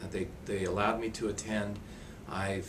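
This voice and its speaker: A man with an American accent speaks with audible room echo around him. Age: 60s. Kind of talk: interview testimony.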